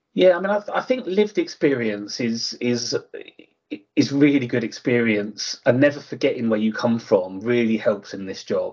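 A man talks at a moderate pace in an Essex accent. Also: medium pitch for a man, lively intonation. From England, Harlow in Essex. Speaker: housing association executive. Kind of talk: interview. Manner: halting, many fillers.

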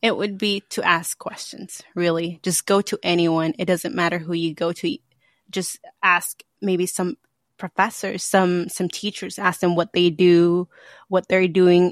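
In an ordinary speaking voice with an American accent, a woman talks at a fairly low pitch and a fairly slow pace with fairly even intonation, the sound dry and close with no echo on a very clean recording with a silent background. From California, Santa Maria. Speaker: former lab worker, student. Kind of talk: casual interview.

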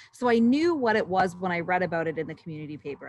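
A woman's voice with noticeable background noise. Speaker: former roller derby player. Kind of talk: casual chat.

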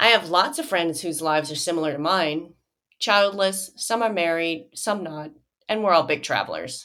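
In an American accent, a woman speaks at a moderate pace with an unremarkable speaking voice and a fairly low pitch. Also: ordinary pitch variation. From US Midwest, Joliet, Illinois. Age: 50s. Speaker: podcast host. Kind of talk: personal monologue.

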